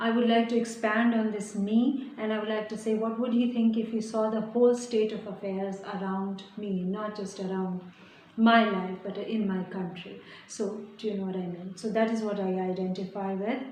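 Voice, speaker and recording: A woman's fairly high voice in a monotone, flat intonation, with audible room echo and noticeable background noise. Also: moderate pace. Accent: Indian. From India. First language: Hindi. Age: young. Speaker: poet. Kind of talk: interview. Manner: halting.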